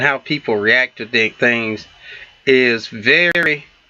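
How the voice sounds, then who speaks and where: The speaker has a Southern US accent and a fairly slow pace. Their pitch variation is ordinary. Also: man. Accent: Southern US country. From US South. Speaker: relationship talk show co-host. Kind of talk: casual talk show chat. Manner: halting, many fillers and false starts.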